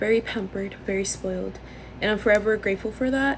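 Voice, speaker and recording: Noticeable background noise sits behind the speech. A woman talks with an American accent. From Los Angeles area, Norwalk. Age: 20s. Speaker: content creator. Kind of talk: casual chat. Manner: loud; wheezing laugh.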